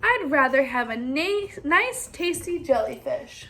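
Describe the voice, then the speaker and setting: A woman's put-on character voice, extremely high in pitch, at a fairly slow pace with very wide pitch swings. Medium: read story.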